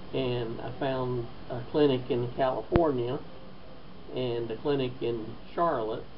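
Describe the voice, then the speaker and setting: Against noticeable background noise and audible room echo, the speaker talks at a fairly slow pace with fairly even intonation and long, frequent pauses. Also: man, medium pitch for a man. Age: 60s. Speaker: stroke patient. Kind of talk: testimony. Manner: halting.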